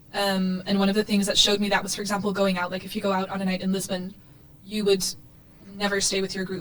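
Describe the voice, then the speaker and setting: Over noticeable background noise, a woman speaks very fast in a monotone, flat delivery. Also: medium pitch for a woman. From Portugal. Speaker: student association board member. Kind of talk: casual chat.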